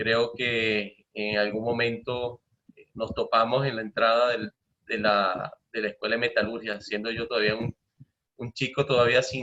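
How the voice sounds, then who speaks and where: A man speaks at a moderate pace with a slight Maracaibo accent. His intonation is monotone and flat. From Venezuela, Maracaibo (Zulia). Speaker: professor and materials science researcher. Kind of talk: lecture. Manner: hesitant with frequent fillers.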